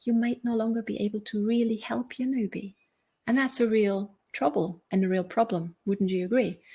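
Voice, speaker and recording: A dark, mellow voice with ordinary pitch variation and a moderate pace, somewhat breathy. The recording is very clean with a silent background. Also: woman, fairly high pitch for a woman. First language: German. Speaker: life and business coach. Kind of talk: live stream motivational talk. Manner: halting, with fillers and repeats.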